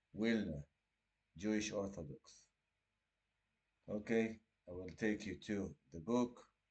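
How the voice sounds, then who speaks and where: Speaking with an Israeli accent, a man has a fairly low pitch and ordinary pitch variation. He leaves long, frequent pauses. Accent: Israeli Hebrew. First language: Hebrew. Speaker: litigant representing himself. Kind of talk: casual explanatory talk. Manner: halting.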